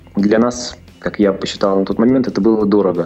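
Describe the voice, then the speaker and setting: Fairly low in pitch, this man speaks at a moderate pace with fairly even intonation. Background noise is noticeable. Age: 40s. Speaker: businessman, game studio founder. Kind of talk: interview.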